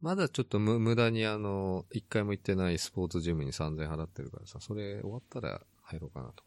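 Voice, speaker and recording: Over a quiet background, a man with a fairly low pitch talks very fast and with lively intonation, hardly any pauses, in a dry, close sound with no echo. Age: 50s. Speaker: podcast co-host. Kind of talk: casual chat. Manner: laughs often.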